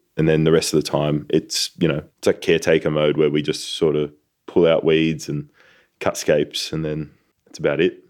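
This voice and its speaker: Talking at a moderate pace, this man has an Australian accent. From Sydney, Australia. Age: 30s. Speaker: organic garlic farmer. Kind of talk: interview, casual conversation.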